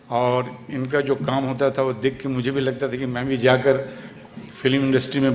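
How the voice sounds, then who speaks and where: A man with a Bengali accent speaks at a moderate pace and medium pitch in a monotone, flat intonation, with noticeable background noise behind him. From West Bengal (Kolkata). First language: Bengali (speaking Hindi). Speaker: film actor. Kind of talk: speech at event.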